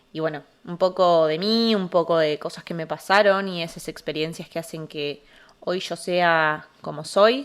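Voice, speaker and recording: A woman talks with fairly even intonation. The recording is very clean, with a silent background. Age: 20s. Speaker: psychologist, podcast host. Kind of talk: casual podcast monologue. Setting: alone at home in the living room. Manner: hesitant, with filler sounds.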